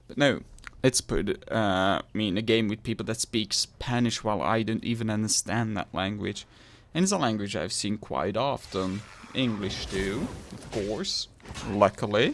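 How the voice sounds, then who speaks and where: Ordinary pitch variation in a man's fairly low-pitched, moderately paced voice. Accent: Flemish. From Belgium (Flanders). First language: Dutch. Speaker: gaming youtuber. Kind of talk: game review.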